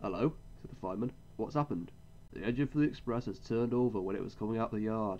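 What we hear is plain reading aloud.

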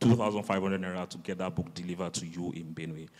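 A man talks with a very deep, low pitch and fairly even intonation. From Nigeria. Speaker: bookseller. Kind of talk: panel discussion. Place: hall. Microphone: handheld.

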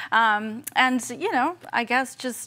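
A woman with an American accent and a bright, sharp tone. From US, Southeast Los Angeles; Los Angeles. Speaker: financial aid outreach staff and podcast co-host; podcast co-host. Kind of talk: casual informational chat. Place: studio.

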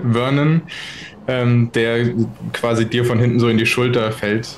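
Faint background noise sits behind a man's medium-pitched voice. He speaks at a fairly slow pace with fairly even intonation.

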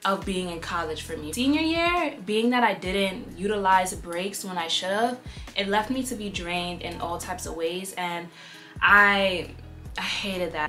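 Faint music plays in the background as a woman speaks at a fairly slow pace with ordinary pitch variation. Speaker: vlogger. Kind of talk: casual vlog chat. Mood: candid, reflective. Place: home room. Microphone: phone near.

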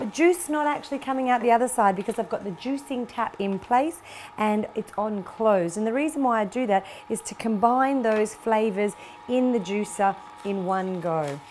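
A woman speaks at a moderate pace with few pauses, her pitch fairly high and varying in an ordinary way, her tone slightly mellow.

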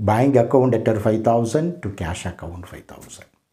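A man with an Indian accent and lively intonation, over a quiet background. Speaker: professor. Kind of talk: lecture. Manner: formal.

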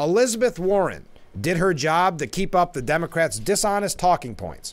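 A man with an American accent talks at a fairly quick pace with lively intonation. Vocal fry runs through his voice. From US Northeast, upstate New York. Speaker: TV talk show host. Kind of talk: live TV talk show. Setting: studio. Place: studio. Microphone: studio mic.

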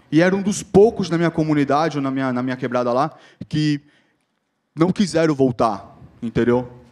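A man with a fairly high voice speaks at a moderate pace with ordinary pitch variation. He leaves long, frequent pauses. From Brazil, Guarujá, São Paulo state. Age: 30s. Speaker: social project founder and jiu-jitsu instructor. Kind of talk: motivational talk. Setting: stage with audience. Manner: casual slang-filled speech.

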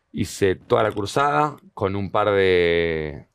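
A man's voice with very wide pitch swings, the sound dry with no echo and the background quiet. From Argentina, moved around Patagonia, Bolivia; Argentina. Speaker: comedian. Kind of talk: interview conversation. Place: studio. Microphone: headset.

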